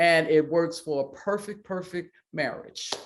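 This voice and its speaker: An unremarkable speaking voice, this woman talks at a fairly low pitch with an American accent and ordinary pitch variation. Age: 60s. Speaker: pastor and athlete's mother. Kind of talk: interview.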